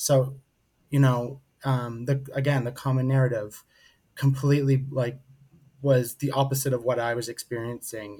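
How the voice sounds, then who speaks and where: Somewhat breathy and dark, mellow in tone, a man talks at a medium pitch and a moderate pace in a monotone, flat intonation, with long, frequent pauses. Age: 30s. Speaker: mental health speaker and advocate. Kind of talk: interview.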